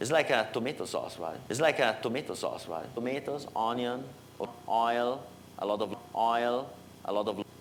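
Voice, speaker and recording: There is ordinary pitch variation as a man talks with an Italian accent. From Italy. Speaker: software developer. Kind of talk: technical workshop. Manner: halting, many fillers.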